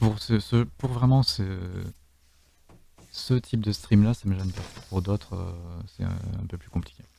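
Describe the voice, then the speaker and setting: This man's voice is fairly low in pitch and somewhat breathy, with a dark, mellow tone and ordinary pitch variation. He speaks at a fairly slow pace, with long, frequent pauses and big swings in loudness. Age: 30s. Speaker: streamer and game host. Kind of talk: live game stream commentary. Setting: voice chat from home. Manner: animated.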